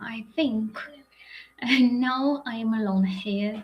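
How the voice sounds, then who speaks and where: Somewhat breathy and fairly even in intonation, a woman speaks at a very slow pace. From Ukraine, Sumy region. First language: Ukrainian or Russian. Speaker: psychiatrist. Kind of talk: lecture. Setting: live webinar. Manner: halting, many fillers.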